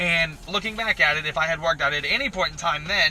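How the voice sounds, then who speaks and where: Loud and high-pitched, a man talks at a fairly quick pace over noticeable background noise. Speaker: electrician and powerlifting YouTuber. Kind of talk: casual chat. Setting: in a car.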